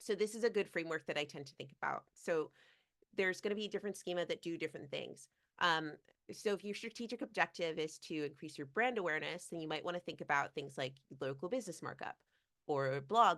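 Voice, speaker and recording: Talking at a very fast pace, a woman uses a fairly low pitch and lively intonation. The background is quiet. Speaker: SEO expert presenting a webinar. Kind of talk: webinar presentation. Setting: video call.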